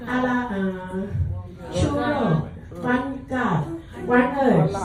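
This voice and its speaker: Very slow speech from a woman with a high pitch, with audible room echo and noticeable background noise. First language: Taiwanese / Mandarin Chinese. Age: 60s. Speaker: calligraphy teacher and speaker. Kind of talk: short speech to an audience. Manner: halting, hesitant broken English.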